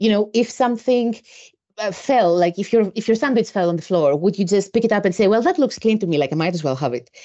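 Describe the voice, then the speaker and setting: A woman talking very fast with lively intonation. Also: medium pitch for a woman. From Greece. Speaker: environmental researcher. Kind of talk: casual interview chat. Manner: humorous, talkative.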